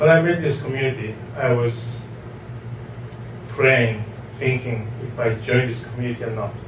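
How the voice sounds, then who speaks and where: A man talks at medium pitch and a moderate pace. Audible room echo and noticeable background noise surround him. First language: not English. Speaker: real estate investor. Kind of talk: testimony.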